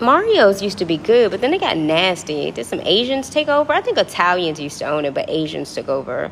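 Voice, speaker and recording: Noticeable background noise behind a woman's fairly quick pace. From Washington DC area (Prince George's County). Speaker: livestreamer. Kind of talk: casual livestream chat with viewers. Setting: apartment lobby at night. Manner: animated.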